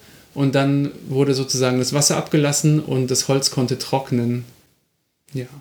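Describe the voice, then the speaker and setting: At a moderate pace, a man speaks in a flat monotone, his medium-pitched voice dark and mellow in tone. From Munich, Bavaria. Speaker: podcast co-host. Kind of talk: casual chat; storytelling.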